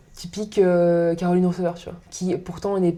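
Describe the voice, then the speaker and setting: A woman speaks at a fairly quick pace with a fairly low pitch. Noticeable background noise sits behind her voice. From northern France. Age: 30s. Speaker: podcast guest. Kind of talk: casual chat.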